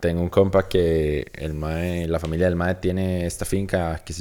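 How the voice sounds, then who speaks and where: A man with a Costa Rican accent, very deep and low in pitch, with ordinary pitch variation. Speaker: podcast co-host. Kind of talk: casual chat.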